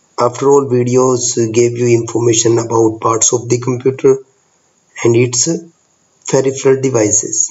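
Flat, monotone intonation from a man at a medium pitch. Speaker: computer teacher. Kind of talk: computer tutorial.

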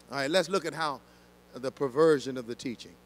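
Dry with no echo, the recording has a man speaking at a moderate pace with ordinary pitch variation. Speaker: senior pastor teaching Bible study. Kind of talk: Bible study teaching. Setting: church with congregation. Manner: passionate, preacher-like. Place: church. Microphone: handheld.

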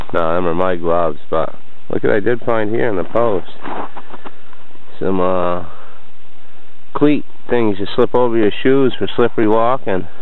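At a moderate pace with long, frequent pauses, a man speaks at a fairly low pitch with ordinary pitch variation and very even loudness, in a dry sound with no echo. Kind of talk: casual vlog chat. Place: open country. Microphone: phone near.

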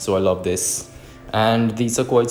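Over music in the background, a man talks at a fairly slow pace with fairly even intonation. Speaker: cooking narrator. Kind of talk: tutorial.

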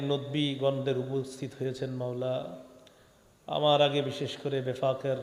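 Audible room echo and noticeable background noise around a man speaking at a medium pitch. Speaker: Islamic preacher. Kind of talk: sermon. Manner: animated.

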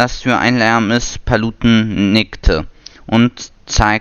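Reading aloud in a natural voice, with fairly even intonation.

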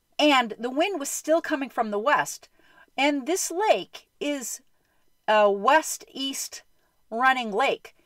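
Very slowly and at a high pitch, a woman speaks with very wide pitch swings. The sound is dry with no echo, and the background is quiet. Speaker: storyteller. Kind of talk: casual vlog storytelling. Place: home room. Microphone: phone near.

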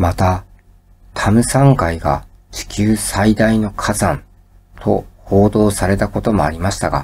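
Somewhat breathy and fairly low in pitch, a man speaks at a very slow pace with ordinary pitch variation. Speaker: educational YouTuber. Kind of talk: sleep-inducing educational lecture. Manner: calm, soft-spoken.

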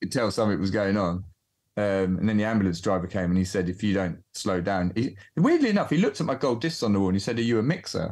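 A very fast pace with ordinary pitch variation against a quiet background. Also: man, fairly low pitch for a man. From southern England. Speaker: music producer and mixing engineer; guest. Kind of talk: casual interview. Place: studio.

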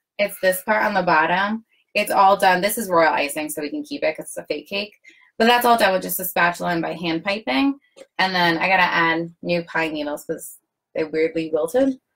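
This woman talks at a fairly quick pace, at a medium pitch, with lively intonation. It is an ordinary speaking voice. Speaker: cake decorator. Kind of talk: casual chat. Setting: video call. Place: workshop.

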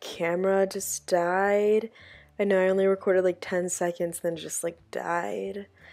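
Over music in the background, a woman with a medium pitch speaks at a fairly slow pace. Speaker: lifestyle vlogger. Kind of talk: casual vlog talk. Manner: casual, chatty.

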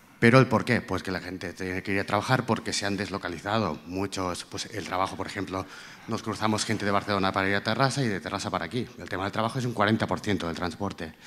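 Speaking at a very fast pace with hardly any pauses, a man keeps a fairly low pitch and fairly even intonation. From Catalonia, Empordà; Catalonia. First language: Catalan (speaking Spanish). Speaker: audience member. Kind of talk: audience question. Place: hall. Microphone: handheld.

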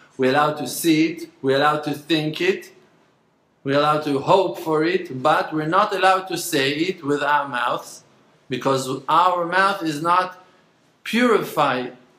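A man's bright, sharp voice with long, frequent pauses and audible room echo. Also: ordinary pitch variation, moderate pace. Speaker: religious teacher. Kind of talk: lecture. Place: home room. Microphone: phone near.

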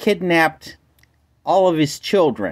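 Against a quiet background, the speech moves at a very slow pace. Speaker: caller. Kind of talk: phone call complaint. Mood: calm, polite. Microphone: phone near.

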